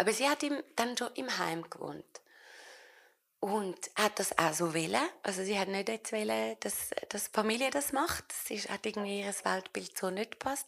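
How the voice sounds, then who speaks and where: A woman's medium-pitched, unremarkable speaking voice with lively intonation at a fairly slow pace. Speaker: actress. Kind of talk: public interview in front of live audience.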